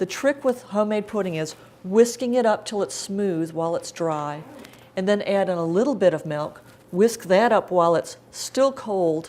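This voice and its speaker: This woman's voice sits at medium pitch with a dark, mellow tone and lively intonation. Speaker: cookbook author giving a cooking demonstration. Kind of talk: live cooking demonstration talk. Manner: fast; casual, chatty.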